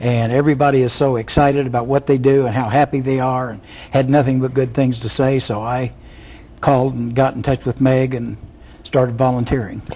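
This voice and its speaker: A man talks at a fairly quick pace and medium pitch, monotone and flat in intonation. Noticeable background noise runs underneath. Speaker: hospice volunteer. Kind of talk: TV interview.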